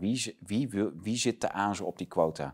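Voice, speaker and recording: Against a quiet background, a man with a plain, everyday voice speaks at a fairly low pitch and a fairly slow pace. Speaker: online talk show host. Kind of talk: political interview talk. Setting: studio. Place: studio.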